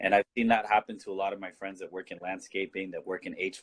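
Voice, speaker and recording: A man talks at a very fast pace with a Californian accent. The sound is dry and close, with no echo. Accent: Californian American English. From southern California, Mission Viejo. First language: Spanish. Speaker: political activist. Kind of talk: casual chat.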